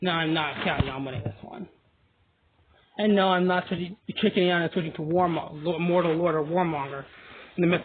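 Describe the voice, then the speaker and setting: A man speaks at a fairly quick pace in a high voice. He takes long, frequent pauses. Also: ordinary pitch variation. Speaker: mobile game video creator. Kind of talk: gameplay commentary. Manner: fast; animated.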